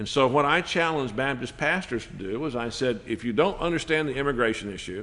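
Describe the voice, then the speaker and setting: Lively intonation at a moderate pace. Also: man. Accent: Texan. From Texas. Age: 60s. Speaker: Baptist church leader. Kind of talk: panel discussion.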